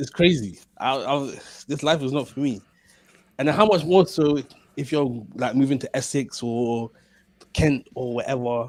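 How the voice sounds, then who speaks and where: A man's fairly high voice with a London accent, long and frequent pauses, and ordinary pitch variation, on a very clean recording with a silent background. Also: fairly slow pace. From London (Waterloo). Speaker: podcast co-host. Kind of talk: casual chat.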